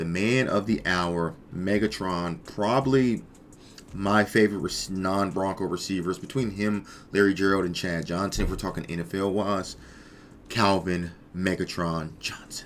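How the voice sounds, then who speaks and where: A man speaks at a fairly slow pace in a very deep, low pitch. His intonation stays fairly even. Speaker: gaming youtuber. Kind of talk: gameplay commentary. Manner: casual, hesitant with fillers.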